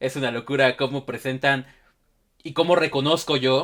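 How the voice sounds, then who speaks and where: Slow-ish and fairly even in intonation, a man speaks at a fairly slow pace with a Mexico City accent. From Mexico City, Xochimilco. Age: 20s. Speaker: podcast host. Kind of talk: interview.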